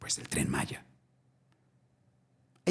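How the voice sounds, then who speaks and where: Dark, mellow tone from a man, on a very clean recording with a silent background. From Mexico, Naucalpan. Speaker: environmental activist. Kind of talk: interview.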